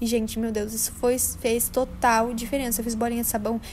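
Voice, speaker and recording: A woman's voice, high in pitch. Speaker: craft youtuber. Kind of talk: casual narration over coloring video. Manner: fast; animated.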